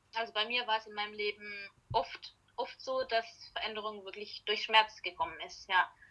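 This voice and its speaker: At a moderate pace, a woman talks with a fairly high pitch, a bright, sharp tone, ordinary pitch variation and big swings in loudness. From Germany, Heilbronn-Heidelberg area. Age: 30s. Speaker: life coach and founder of a self-help product. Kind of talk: casual interview.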